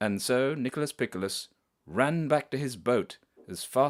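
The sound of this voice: The background is quiet. This is an unforced reading voice.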